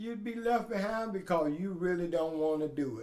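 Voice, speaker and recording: Audible room echo surrounds a man whose voice is high-pitched, with ordinary pitch variation. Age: 70s. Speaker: adult learner. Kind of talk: interview testimony.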